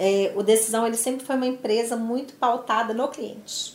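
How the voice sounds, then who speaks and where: Her fairly high-pitched, unremarkable speaking voice moves at a moderate pace as this woman talks. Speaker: business executive. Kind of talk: interview.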